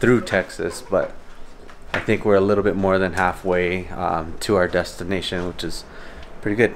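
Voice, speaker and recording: Over light background noise, a man speaks at a moderate pace in a monotone, flat intonation with a very deep, low pitch. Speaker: vlogger. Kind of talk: casual vlog chat. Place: home room. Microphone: phone near.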